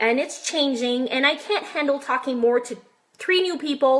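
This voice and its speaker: Over noticeable background noise, a woman speaks in a raised, projected voice at a moderate pace, her high pitch showing ordinary variation. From French Canada. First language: French. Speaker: online marketer and massage therapist. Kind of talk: live stream tutorial. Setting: live video stream. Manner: high energy.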